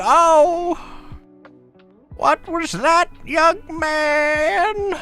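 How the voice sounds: A put-on character voice over faint background music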